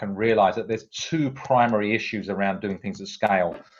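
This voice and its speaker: A man with a British accent speaks at medium pitch and a fairly quick pace. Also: quiet background. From UK. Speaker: tech company CEO. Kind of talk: interview. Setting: at home. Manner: hesitant with fillers.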